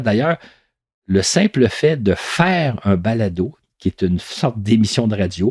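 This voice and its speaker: Speaking in a normal speaking voice at medium pitch, a man talks at a fairly slow pace with lively intonation, his sound dry and close with no echo on a very clean recording with a silent background. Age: 60s. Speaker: podcast storyteller. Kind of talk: reflective monologue. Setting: home recording.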